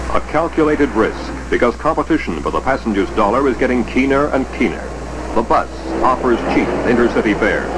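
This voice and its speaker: Over noticeable background noise, a man talks at a fairly quick pace with very even loudness. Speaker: newsreel narrator. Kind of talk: newsreel narration.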